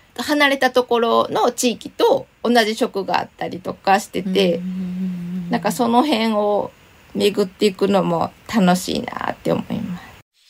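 Over noticeable background noise, a woman with a fairly high pitch talks at a fairly slow pace, her pitch varying ordinarily and her loudness swinging a lot. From Shiga, Kansai. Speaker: illustrated essayist. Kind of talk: casual interview. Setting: remote recording.

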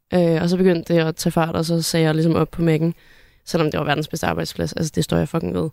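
A woman speaks very fast in a very deep, low pitch with a dark, mellow tone and monotone, flat intonation. The sound is dry and close with no echo, on a very clean recording over a silent background. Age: 20s. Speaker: YouTuber. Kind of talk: casual chat. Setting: studio.

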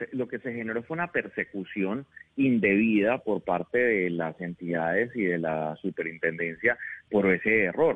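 A man with a fairly low pitch speaks at a fairly slow pace. His intonation is lively. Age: 30s. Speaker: congressman. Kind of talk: interview.

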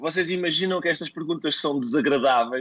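Very fast talking from a man with a fairly high pitch. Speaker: comedian. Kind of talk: interview.

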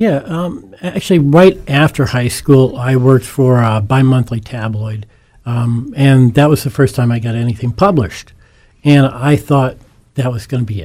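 A man speaks in an American accent at a medium pitch and a moderate pace, with ordinary pitch variation. His tone is dark and mellow, and somewhat breathy. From Northeast Pennsylvania (Scranton). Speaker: author. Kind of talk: interview.

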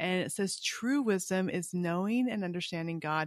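A woman with an ordinary speaking voice at a moderate pace, with ordinary pitch variation and a dry, close sound with no echo, over a quiet background. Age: 50s. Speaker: Bible podcast co-host. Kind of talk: casual chat about Bible reading.

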